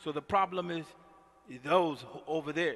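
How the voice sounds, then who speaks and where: Against a quiet background, a man with an American accent uses a raised, projected voice at a moderate pace. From US, North Philadelphia. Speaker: imam. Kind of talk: sermon. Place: church. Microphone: headset.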